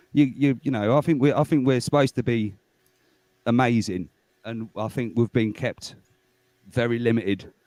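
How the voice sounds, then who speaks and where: Speaking at a moderate pace with long, frequent pauses, a man uses a dark, mellow tone at a medium pitch. The sound is dry and close with no echo. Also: ordinary pitch variation. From England. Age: 40s. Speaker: guest in livestream chat. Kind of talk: casual chat. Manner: rambling, hesitant with many fillers.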